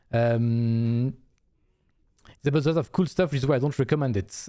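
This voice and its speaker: Dark, mellow tone from a man of medium pitch with a non-native accent, ordinary pitch variation, and a very clean recording with a silent background. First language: not English. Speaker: video game streamer. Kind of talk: casual live-stream chat.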